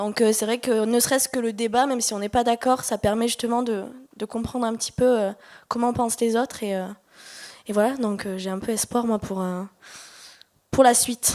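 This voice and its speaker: A woman with a fairly high pitch speaks at a moderate pace in a flat monotone, leaving long, frequent pauses. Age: 20s. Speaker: audience member at conference. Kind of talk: audience comment at workshop Q&A. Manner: hesitant, many fillers.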